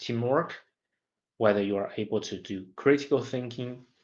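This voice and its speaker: Against a quiet background, a man talks with a Chinese accent. His intonation stays fairly even. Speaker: graduate student. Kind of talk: study vlog monologue. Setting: self-recording. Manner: halting, with repetitions.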